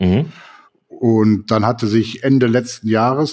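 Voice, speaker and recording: This is a man speaking at a medium pitch. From Cologne. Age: 50s. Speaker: photographer and podcast co-host. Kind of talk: casual chat.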